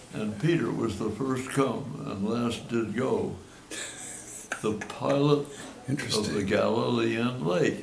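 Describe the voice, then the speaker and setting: Very slow speech with long, frequent pauses and ordinary pitch variation, set against noticeable background noise. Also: man, medium pitch for a man. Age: 80s+. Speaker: retired cultural analyst and consultant. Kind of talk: informal seminar talk.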